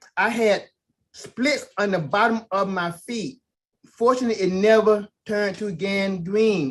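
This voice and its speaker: Here a man speaks at a very slow pace. His pitch is high. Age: 60s. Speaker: testimony giver. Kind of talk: testimony. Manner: animated.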